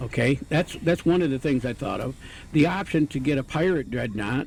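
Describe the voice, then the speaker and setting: Someone mumbles while music plays in the background. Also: man. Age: old. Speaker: retired gamer and video game commentator. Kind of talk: casual gameplay commentary. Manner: rambling, hesitant, mumbling.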